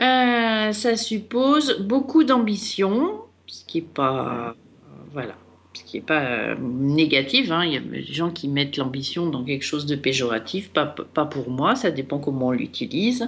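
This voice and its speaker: A woman with a fairly low pitch talks at a very slow pace, her pitch swinging very widely. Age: 50s. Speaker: astrologer and psychogenealogy reader. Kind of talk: radio consultation. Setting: radio studio.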